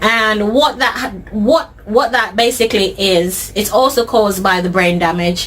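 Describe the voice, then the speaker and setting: In a British accent, a woman speaks at a fairly high pitch with lively intonation. She keeps a fairly slow pace amid noticeable background noise. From Jamaica. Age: 30s. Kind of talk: interview answer.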